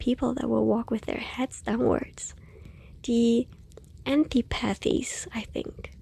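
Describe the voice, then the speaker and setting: Soft-spoken and gentle in tone, a woman talks at a fairly slow pace. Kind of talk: ASMR bedtime story reading. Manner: soft-spoken, gentle.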